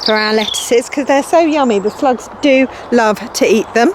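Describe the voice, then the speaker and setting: Noticeable background noise sits behind a woman who speaks at a high pitch with lively intonation. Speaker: environment centre educator. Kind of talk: guided virtual tour.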